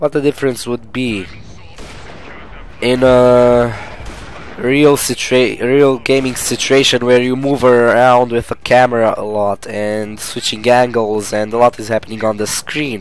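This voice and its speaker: Noticeable background noise sits behind a man speaking at a medium pitch. He goes at a fairly slow pace with fairly even intonation. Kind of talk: gameplay commentary. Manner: casual.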